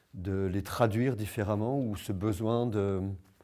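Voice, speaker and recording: A dark, mellow tone carries fairly even intonation throughout. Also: man. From Vosges, eastern France. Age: 50s. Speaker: street performer. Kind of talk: personal testimony. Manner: hesitant, many fillers.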